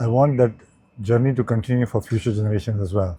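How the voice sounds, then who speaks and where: A man with a dark, mellow tone speaks at medium pitch with ordinary pitch variation, somewhat breathy, over a quiet background. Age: 60s. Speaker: business executive. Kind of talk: interview.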